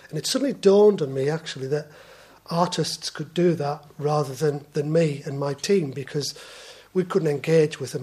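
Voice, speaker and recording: Here a man talks at a moderate pace with fairly high pitch. He uses a normal speaking voice with fairly even intonation. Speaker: water company executive, sponsor of arts. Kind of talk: conference presentation.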